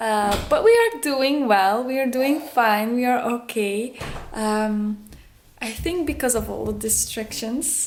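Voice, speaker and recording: Speaking very slowly with a Dutch accent, a woman uses a high pitch and ordinary pitch variation, and audible room echo is present. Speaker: vlogger, homeschooling mother. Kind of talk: casual vlog talk. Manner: halting.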